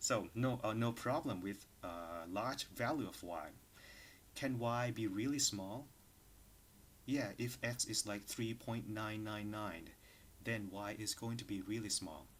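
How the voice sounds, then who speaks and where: Audible room echo surrounds a man who speaks at a fairly slow pace with ordinary pitch variation. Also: fairly low pitch for a man. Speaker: university lecturer. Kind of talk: lecture. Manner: hesitant with fillers.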